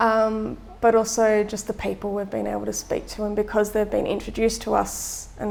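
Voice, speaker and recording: This woman talks at a fairly quick clip. She has an Australian accent. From Australia (Melbourne). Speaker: designer and volunteer traveller. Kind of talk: testimonial interview. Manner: casual with frequent filler words.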